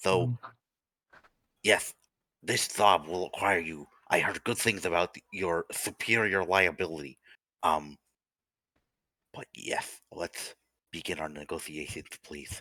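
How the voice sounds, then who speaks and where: In a put-on character voice, a man speaks raspy and very deep at a fairly slow pace, with long, frequent pauses. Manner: put-on voice.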